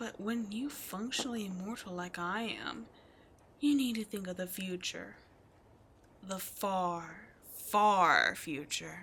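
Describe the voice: A woman's put-on character voice at medium pitch, fairly bright in tone with a slightly husky edge, delivered at a slow pace. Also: ordinary pitch variation.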